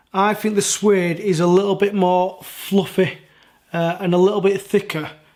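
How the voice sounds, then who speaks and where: Speaking in a high pitch, a man keeps his intonation monotone and flat. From Yorkshire, northern England. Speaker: sneaker reviewer. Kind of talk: product review. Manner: casual, hesitant with fillers.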